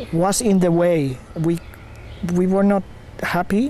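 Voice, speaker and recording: There is noticeable background noise behind a man with a high pitch. He speaks with a Spanish accent. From Spain. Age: 50s. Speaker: community founder. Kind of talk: interview. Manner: halting.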